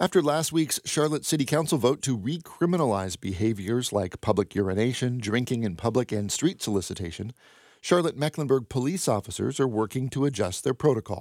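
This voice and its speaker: A man with a normal speaking voice and medium pitch talks at a fairly quick pace with hardly any pauses and lively intonation. The recording is very clean with a silent background and a dry, close sound with no echo. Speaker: radio news host. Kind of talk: newsreading. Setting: studio. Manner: formal, even-paced and neutral; crisp and matter-of-fact.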